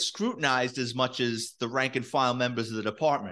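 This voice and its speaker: Over a quiet background, a man speaks with a New York accent. His pace is moderate. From New York City. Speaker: retired police detective and author. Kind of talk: storytelling interview.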